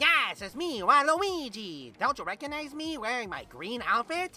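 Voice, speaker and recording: The voice is a high-pitched, put-on character voice. Its pace is moderate. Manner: impression of a game character, mocking.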